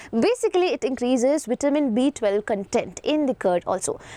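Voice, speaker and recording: The speaker has an Indian accent, talking at a fairly quick pace with very wide pitch swings. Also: woman, dry, close sound with no echo. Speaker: biology teacher. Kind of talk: online lecture.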